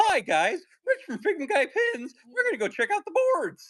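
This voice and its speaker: Squeaky and extremely high in pitch, a man's put-on character voice swings very widely up and down. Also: moderate pace. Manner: wacky and peppy.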